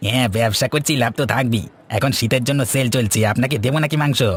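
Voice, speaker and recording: This is a cartoonish character voice from a man at medium pitch. He talks at a fairly quick pace. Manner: eager, talkative.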